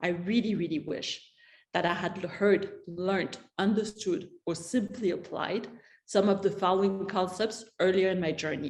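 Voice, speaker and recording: Fairly even intonation marks the speech of a woman in a non-native accent. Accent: noticeable foreign. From mixed European upbringing (France, Spain, Switzerland). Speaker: entrepreneur. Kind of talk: prepared talk.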